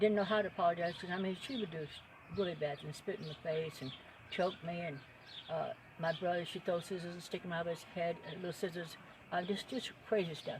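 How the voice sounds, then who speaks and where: Noticeable background noise under speech at a fairly quick pace. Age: 70s. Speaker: storyteller, former carnival worker. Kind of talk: casual storytelling monologue. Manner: halting, with frequent fillers.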